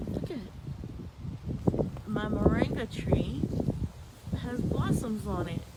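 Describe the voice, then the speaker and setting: A woman is heard over noticeable background noise. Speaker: home gardener and vlogger. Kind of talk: casual vlog garden tour. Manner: slow; chatty, informal.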